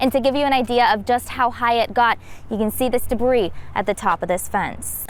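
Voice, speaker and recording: With an American accent, a woman speaks at a moderate pace in a high pitch with fairly even intonation. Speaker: TV news reporter. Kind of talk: TV news reporting. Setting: outdoors, on location. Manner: live field report.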